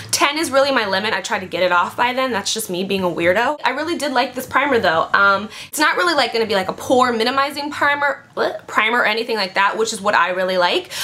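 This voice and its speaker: Animated and lively in intonation, a woman talks at a very fast pace with hardly any pauses. Her pitch is fairly high, and there is noticeable background noise. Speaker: beauty vlogger. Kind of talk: product review vlog.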